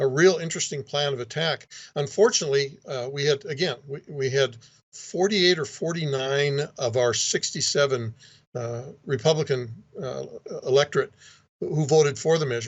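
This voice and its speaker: This man has a fairly high pitch and a somewhat breathy sound. He talks at a fairly quick pace with ordinary pitch variation. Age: 60s. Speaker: state legislator. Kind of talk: interview.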